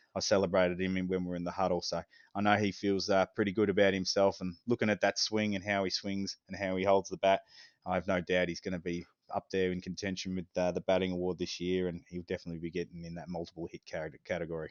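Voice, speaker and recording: A man with an Australian accent, very deep, low pitch and monotone, flat intonation at a very fast pace. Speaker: amateur baseball coach. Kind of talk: casual podcast chat.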